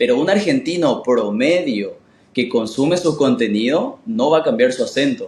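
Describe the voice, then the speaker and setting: A man talks at a moderate pace with very even loudness. His fairly high pitch moves in very wide swings. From Paraguay. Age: 20s. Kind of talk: casual interview chat.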